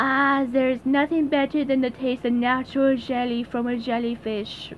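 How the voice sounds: Putting on a character voice in a French accent, a woman speaks high and monotone at a moderate pace, with clear background noise behind her.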